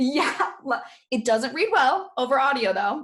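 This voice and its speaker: A woman's high-pitched voice. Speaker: podcast host. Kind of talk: casual chat. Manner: fast; overlapping talk.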